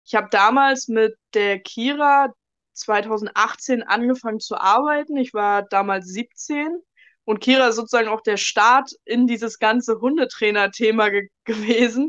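A woman with a fairly high pitch talks at a fairly slow pace in an ordinary speaking voice. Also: ordinary pitch variation. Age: 20s. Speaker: dog trainer. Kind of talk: casual interview, storytelling.

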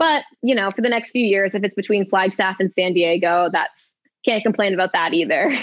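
With a normal speaking voice, a woman talks at a fairly quick pace in a medium pitch and very even loudness. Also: ordinary pitch variation. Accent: American. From Maine, US. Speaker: professional runner. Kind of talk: casual chat. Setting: studio.

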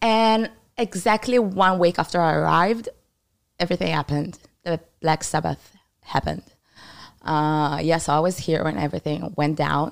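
A woman speaks with a very deep, low pitch for a woman, in an Israeli accent. Her intonation is lively, with long, frequent pauses. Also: moderate pace. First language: Hebrew. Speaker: former soldier. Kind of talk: interview about the war.

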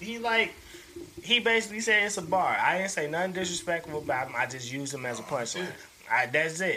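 At a moderate pace, a man speaks in a high pitch with very wide pitch swings over noticeable background noise. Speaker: podcast host. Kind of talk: casual chat.

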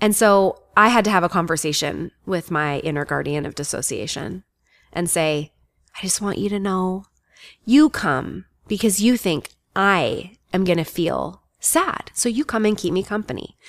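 The speaker has a normal speaking voice at a moderate pace. Intonation is lively throughout. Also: woman, medium pitch for a woman. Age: 40s. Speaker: life coach. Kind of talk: interview.

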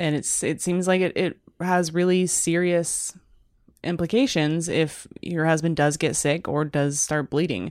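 On a very clean recording with a silent background, an animated tone comes through at very even loudness. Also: woman, fairly low pitch for a woman. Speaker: podcast co-host. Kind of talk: casual chat. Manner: animated, joking.

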